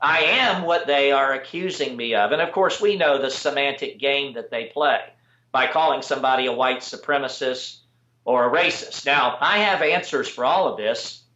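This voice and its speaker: A man with a plain, everyday voice talks at a moderate pace with ordinary pitch variation. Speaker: political activist. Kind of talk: interview answer. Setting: internet video call.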